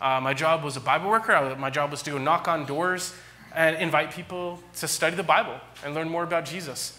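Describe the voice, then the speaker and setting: Talking at a fairly quick pace, a man with an American accent shows ordinary pitch variation. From California. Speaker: pastor. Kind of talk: sermon. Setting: church. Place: church.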